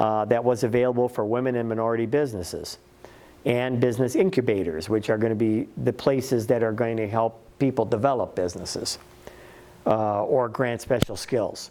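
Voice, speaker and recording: With a plain, everyday voice, the speech runs fairly quickly and its pitch varies in an ordinary way. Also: man, medium pitch for a man. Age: 60s. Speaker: small business workshop presenter. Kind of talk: workshop presentation.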